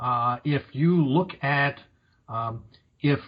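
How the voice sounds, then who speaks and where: A man speaks in a somewhat breathy voice. His pitch varies in an ordinary way. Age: 60s. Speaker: career coach. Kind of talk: podcast interview.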